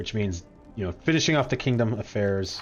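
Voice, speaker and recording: A man talks in a lively, varied intonation while music plays behind him. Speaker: game streamer. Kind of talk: casual chat. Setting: live stream.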